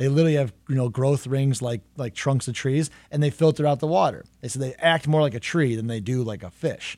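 A man in a plain, everyday voice, medium pitch with ordinary pitch variation, at a fairly quick pace on a very clean recording with a silent background. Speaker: chef and host. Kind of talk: interview conversation.

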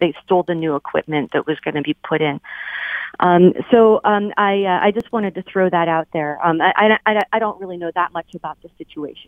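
A woman speaks with an American accent at a fairly low pitch and a fairly quick pace. Her loudness swings widely while her pitch varies in an ordinary way. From Highland Park, Michigan. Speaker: caller. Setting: phone call. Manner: halting.

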